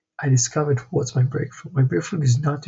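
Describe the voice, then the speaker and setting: A man speaks at a fairly quick pace, somewhat breathy. His intonation stays fairly even. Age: 20s. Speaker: vlogger, entrepreneur. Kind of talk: personal vlog monologue.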